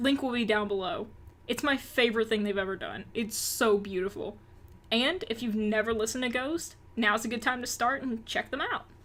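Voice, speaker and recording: A woman with an American accent speaks at a moderate pace, her pitch fairly high with ordinary variation. Noticeable background noise runs under her voice. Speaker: rock music news youtuber. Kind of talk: news roundup vlog. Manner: upbeat, casual.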